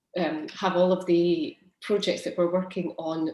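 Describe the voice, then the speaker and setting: At a moderate pace, a woman speaks with fairly low pitch. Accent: Scottish. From Scotland. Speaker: project manager. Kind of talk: webinar introduction.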